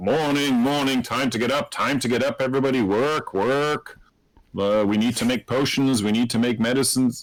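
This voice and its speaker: A man's loud, booming put-on character voice at a medium pitch and a moderate pace, on a very clean recording with a silent background. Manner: cheerful, bossy, energetic.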